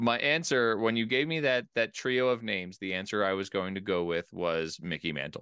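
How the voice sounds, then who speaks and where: A man with an ordinary speaking voice talks at a moderate pace, pitched fairly low, with lively intonation. He leaves hardly any pauses, and the background is quiet. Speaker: podcast host. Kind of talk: casual chat. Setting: home basement studio.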